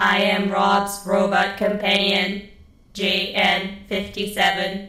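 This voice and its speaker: Using a put-on character voice at medium pitch, a woman speaks at a fairly slow pace with a slight echo around her. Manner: mechanical, formal.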